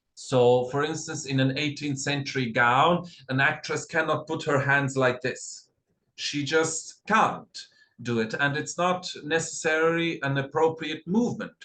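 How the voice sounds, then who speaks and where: A man speaks with a fairly high pitch and a bright, sharp tone. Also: ordinary pitch variation, fairly slow pace. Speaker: costume designer. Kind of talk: lecture. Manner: halting.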